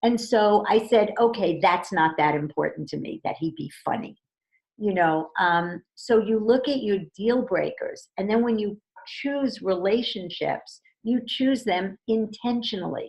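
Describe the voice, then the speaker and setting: At a fairly slow pace, a woman speaks with lively intonation and a fairly high pitch. Her voice is somewhat breathy. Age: 60s. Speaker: relationship coach. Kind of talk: interview.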